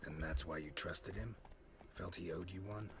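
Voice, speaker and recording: Over clear background noise, a man uses a put-on character voice with very deep, low pitch at a fairly quick pace. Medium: video game. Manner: laconic, dry.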